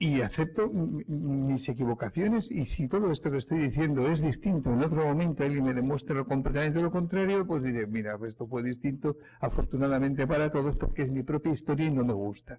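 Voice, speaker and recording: This man has a fairly high pitch, a dark, mellow tone, a somewhat breathy quality and lively intonation. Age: 60s. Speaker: historian speaker. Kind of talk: public talk. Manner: halting, with many fillers and restarts.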